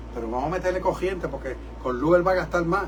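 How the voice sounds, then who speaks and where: With audible room echo and noticeable background noise, a man talks at a fairly quick pace. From New York City, Puerto Rican family. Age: 70s. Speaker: rabbi and preacher. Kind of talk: sermon. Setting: church service broadcast from studio. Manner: animated.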